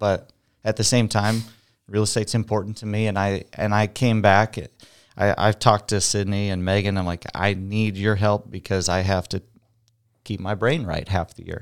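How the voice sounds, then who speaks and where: This man has a fairly low pitch and a monotone, flat intonation. The recording is very clean, with a silent background. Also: moderate pace. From Iowa, US Midwest. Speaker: real estate agent, former car salesman. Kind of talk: casual interview. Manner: loud, outspoken.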